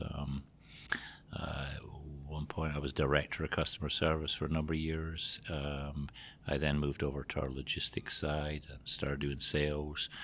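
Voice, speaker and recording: A man talks at a moderate pace in a Scottish accent. His very deep, low voice stays monotone and flat. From Scotland. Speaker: trucking company general manager. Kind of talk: interview.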